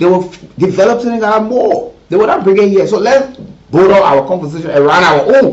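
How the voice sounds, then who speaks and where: A man's high voice with lively intonation at a fairly quick pace, amid noticeable background noise and audible room echo. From Liberia. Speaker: radio talk show host. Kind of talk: live call-in talk show.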